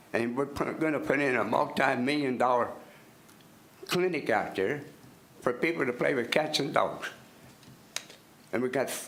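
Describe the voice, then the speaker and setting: A man's fairly high voice with an American accent, audible room echo and noticeable background noise. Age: 80s+. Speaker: resident speaking at public comment. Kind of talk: public comment at county meeting. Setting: public meeting room. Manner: halting, repetitive.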